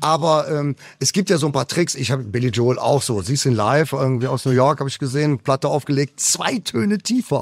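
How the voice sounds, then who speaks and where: This man has a normal speaking voice with a fairly high pitch and ordinary pitch variation, talking at a moderate pace in a dry, close sound with no echo. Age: 60s. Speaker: rock singer. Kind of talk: radio interview. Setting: backstage after concert. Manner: casual, with fillers.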